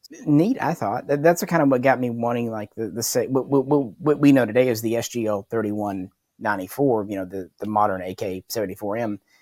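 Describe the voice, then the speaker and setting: An ordinary speaking voice from a man with an American accent, medium pitch, ordinary pitch variation, a fairly slow pace, and hardly any pauses, in a very clean recording with a silent background. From US South, Arkansas Ozarks. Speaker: firearms history YouTuber. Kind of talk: casual chat.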